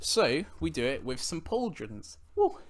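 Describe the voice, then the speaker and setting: This man's voice has vocal fry and swings very widely in pitch. The recording is very clean, with a silent background. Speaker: podcast host and buhurt fighter. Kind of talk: demonstration tutorial. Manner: casual.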